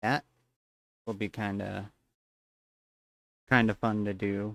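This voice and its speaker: Soft-spoken and fairly low in pitch, a man talks at a very slow pace. His intonation is monotone and flat, in a dry, close sound with no echo. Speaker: streamer. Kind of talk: live stream gaming chat.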